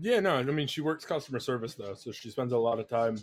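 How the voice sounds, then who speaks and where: A medium-pitched male voice with ordinary pitch variation. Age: 20s. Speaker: streamer. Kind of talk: casual chat. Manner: loud.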